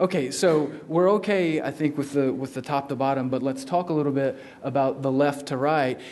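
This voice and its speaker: A man's fairly high pitch with fairly even intonation, at a moderate pace. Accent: Southern US. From South Carolina, US South. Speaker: law researcher. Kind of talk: lecture.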